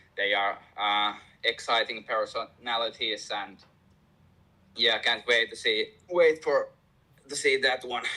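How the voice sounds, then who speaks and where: A man with a Finnish accent and long, frequent pauses. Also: fairly slow pace. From Finland. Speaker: MMA fighter and fight news reporter. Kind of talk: interview. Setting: remote call from home. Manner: halting, hesitant.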